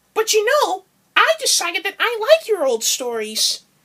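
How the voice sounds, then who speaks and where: Putting on a squeaky character voice, a woman speaks at a moderate pace with an extremely high pitch that swings very widely. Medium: read story.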